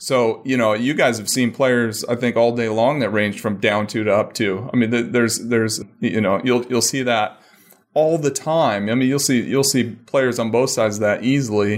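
With fairly even intonation, an unremarkable speaking voice proceeds at a moderate speed. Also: man, medium pitch for a man. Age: 40s. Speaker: golf equipment engineer. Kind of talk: casual interview.

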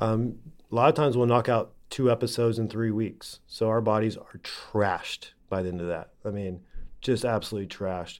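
Recorded very cleanly against a silent background, a man at a medium pitch has an ordinary speaking voice. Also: fairly even intonation, moderate pace. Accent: American. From Oklahoma. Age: 30s. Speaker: TV presenter and animal handler. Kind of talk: interview.

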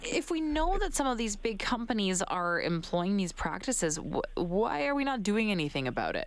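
Her pitch fairly high and swinging very widely, a woman keeps a moderate pace with hardly any pauses and very even loudness. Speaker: radio host. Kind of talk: radio interview.

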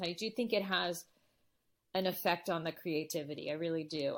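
A woman speaks with a Californian accent. The recording is very clean, with a silent background. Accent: General American, Californian. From Los Angeles, San Fernando Valley. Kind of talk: interview. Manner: halting, many fillers and restarts.

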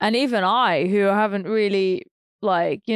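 In a British accent, the speaker uses ordinary pitch variation in a very clean recording with a silent background and a dry, close sound with no echo. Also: woman. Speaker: professional ballroom dancer. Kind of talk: casual chat.

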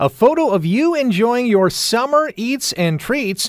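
A man's upbeat tone at a moderate pace, with very wide pitch swings.

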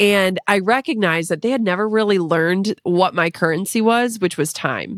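A woman with a plain, everyday voice talks at a moderate pace in a medium pitch, with ordinary pitch variation, very even loudness and hardly any pauses. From Minnesota. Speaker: entrepreneur and podcaster. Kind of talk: casual interview.

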